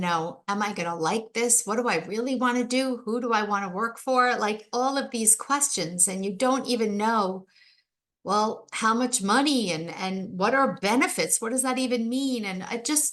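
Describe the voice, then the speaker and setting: This woman has an ordinary speaking voice, pitched fairly high, with ordinary pitch variation. She talks at a fairly slow pace. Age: 60s. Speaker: podcast host and life coach. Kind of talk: solo podcast monologue. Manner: conversational.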